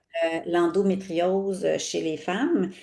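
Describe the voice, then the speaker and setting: This woman speaks at a medium pitch. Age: 60s. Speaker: sexologist. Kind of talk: casual interview chat. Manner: halting, many fillers.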